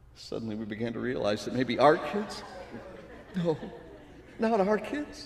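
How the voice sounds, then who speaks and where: Very slow speech amid noticeable background noise. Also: man. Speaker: actor and storyteller. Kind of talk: personal storytelling performance, life stories.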